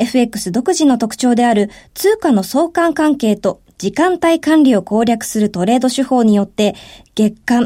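A woman's dark, mellow voice with very wide pitch swings at a fairly slow pace, in a very clean recording over a silent background. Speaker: radio co-host and announcer. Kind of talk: scripted narration. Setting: studio. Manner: formal.

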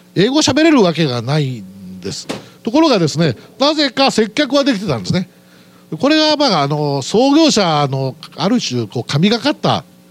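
A high-pitched man speaks at a moderate pace, his pitch swinging very widely. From Aichi, Japan. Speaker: company president. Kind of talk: investor presentation. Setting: stage with audience. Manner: formal.

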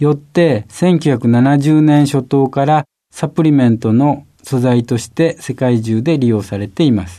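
Against a quiet background, a man with a normal speaking voice and a fairly high pitch talks at a fairly slow pace with ordinary pitch variation. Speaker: company president and visiting professor. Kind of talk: scripted narration. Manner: formal.

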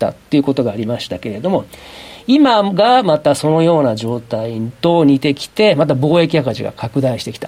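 His pitch rises and falls very widely. The man speaks at a moderate pace. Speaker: former currency dealer. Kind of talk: radio interview. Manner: casual, chatty.

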